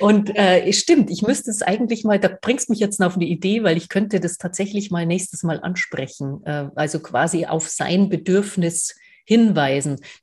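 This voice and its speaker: A woman speaks with a somewhat breathy voice and hardly any pauses over a quiet background. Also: medium pitch for a woman, ordinary pitch variation, moderate pace. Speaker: podcast co-host. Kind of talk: casual chat.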